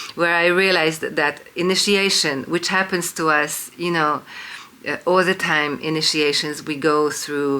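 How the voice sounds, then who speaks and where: The speaker has a Hungarian accent. The pace is fairly slow. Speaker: independent researcher and video lecturer. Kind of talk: monologue lecture to camera. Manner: hesitant, many fillers (um, uh).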